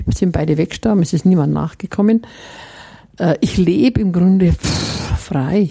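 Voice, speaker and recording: A woman speaks at a moderate pace and fairly low pitch, with ordinary pitch variation and very even loudness, over noticeable background noise. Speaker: nun and master brewer. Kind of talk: interview.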